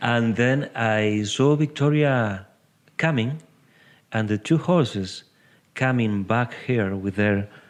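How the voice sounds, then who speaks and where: At a very slow pace, a man speaks at a medium pitch against a quiet background. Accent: Uruguayan. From Uruguay. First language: Spanish. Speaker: horse-assisted coach. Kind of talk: interview. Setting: podcast recording. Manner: halting.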